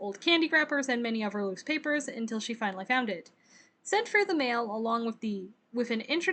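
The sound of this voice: An unforced reading voice carries the passage.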